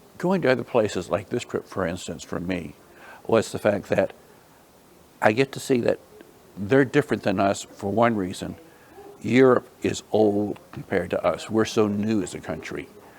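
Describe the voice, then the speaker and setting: At a moderate pace and a fairly low pitch, a man talks with long, frequent pauses over noticeable background noise. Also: ordinary pitch variation. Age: 70s. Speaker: substitute teacher. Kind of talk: interview.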